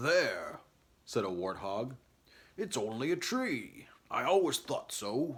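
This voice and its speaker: Using a put-on character voice, a man talks at a fairly high pitch and a fairly slow pace, with long, frequent pauses. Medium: read story. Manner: smug, stubborn.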